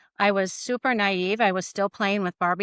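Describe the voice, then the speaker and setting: A woman with an American accent in a normal speaking voice, medium in pitch, with fairly even intonation and a dry, close sound with no echo. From US Midwest. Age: 60s. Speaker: church leader. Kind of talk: personal testimony.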